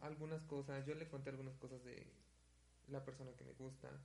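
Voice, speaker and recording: With audible room echo, a man speaks at a fairly high pitch in a somewhat breathy voice with monotone, flat intonation. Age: 20s. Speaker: podcast co-host, university student. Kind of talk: casual chat.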